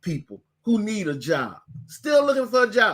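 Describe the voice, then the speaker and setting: A man speaks in a raised, projected voice at a fairly slow pace. His tone is bright and sharp, and his pitch swings very widely. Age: 60s. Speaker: bishop and online business teacher. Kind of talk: webinar presentation. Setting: online webinar with screen sharing. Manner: halting, with fillers and repeats.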